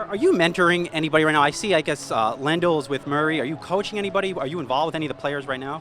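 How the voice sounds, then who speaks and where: The speech comes at a very fast pace with hardly any pauses, over noticeable background noise. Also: man, ordinary pitch variation. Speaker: financial news interviewer. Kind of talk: interview questions. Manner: upbeat, casual.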